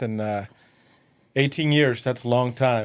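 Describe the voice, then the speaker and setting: A man is speaking. He has a Spanish accent. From West Texas (Odessa/Midland), born in Mexico. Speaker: entrepreneur. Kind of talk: casual interview.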